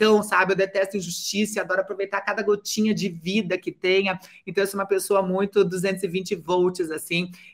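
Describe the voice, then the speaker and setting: Hardly pausing, a woman speaks at medium pitch and a moderate pace with monotone, flat intonation. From Brazil, Curitiba. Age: 50s. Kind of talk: interview.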